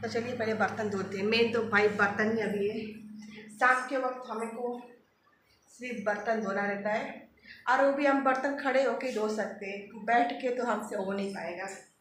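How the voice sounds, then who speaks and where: Moderate pace and fairly even intonation, with audible room echo. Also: woman, fairly high pitch for a woman. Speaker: vlogger. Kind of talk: casual vlog. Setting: at home, kitchen.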